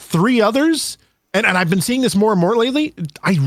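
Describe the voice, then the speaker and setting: Over music in the background, someone with an American accent talks at a fairly quick pace. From Quebec, Montreal. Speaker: gaming streamer. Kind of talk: casual chat.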